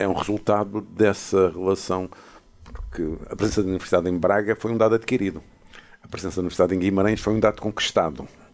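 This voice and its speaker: A man's fairly low voice at a very fast pace. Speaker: professor emeritus, podcast co-host. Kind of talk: casual chat.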